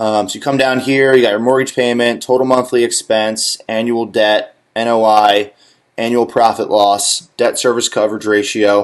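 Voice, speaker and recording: A man with a plain, everyday voice speaks at a medium pitch with fairly even intonation. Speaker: real estate lender. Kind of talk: tutorial.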